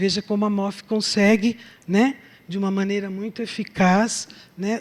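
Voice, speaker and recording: An unremarkable speaking voice from a woman at medium pitch, with fairly even intonation and a fairly slow pace. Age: 60s. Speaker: chemistry professor. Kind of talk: lecture. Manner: conversational, filler-heavy.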